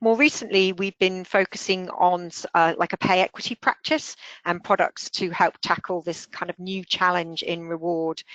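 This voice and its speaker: The woman's voice comes at a moderate pace, with a dry, close sound and no echo. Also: medium pitch for a woman, ordinary pitch variation, quiet background. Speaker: software company founder and consultant. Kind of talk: webinar product presentation. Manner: hesitant, many filler words.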